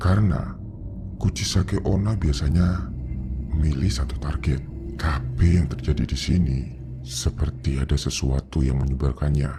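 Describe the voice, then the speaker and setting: A man talks at a moderate pace in a put-on character voice. Clear background noise sits behind him. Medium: read story. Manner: grave, measured.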